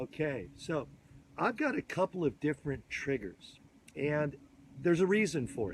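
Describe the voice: A man talks at a fairly slow pace with a slightly husky edge. His voice is fairly high in pitch and makes big pitch swings.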